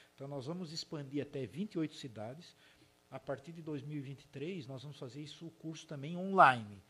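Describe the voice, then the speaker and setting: A man speaks at a moderate pace in a bright, sharp tone, with a fairly high pitch, ordinary pitch variation and big swings in loudness. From southern Santa Catarina, Brazil (Urussanga); Blumenau from age 14. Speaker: software company founder and CEO. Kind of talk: interview conversation.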